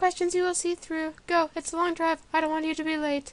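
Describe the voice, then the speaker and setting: A woman's squeaky, put-on character voice, extremely high in pitch, with monotone, flat intonation. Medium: read story.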